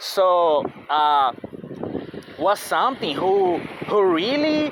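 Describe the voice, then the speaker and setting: Noticeable background noise is present throughout. The talking goes very slowly. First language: not English. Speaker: vlogger. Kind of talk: casual monologue vlog. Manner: halting, many fillers and restarts.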